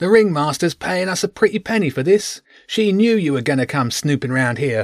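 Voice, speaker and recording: In a loud, put-on character voice, a man speaks high-pitched at a fairly quick pace. The recording is very clean with a silent background. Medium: read story. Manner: loud, mocking.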